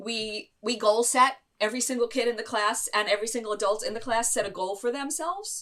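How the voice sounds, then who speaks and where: A woman's animated, bright and sharp voice at a fairly quick pace, with ordinary pitch variation and hardly any pauses. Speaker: inclusive education consultant. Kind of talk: interview. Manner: fast.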